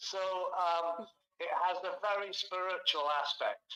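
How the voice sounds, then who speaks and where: A man uses a raised, projected voice at a high pitch, with fairly even intonation. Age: 70s. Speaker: author and researcher. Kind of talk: interview conversation. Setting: live stream video call.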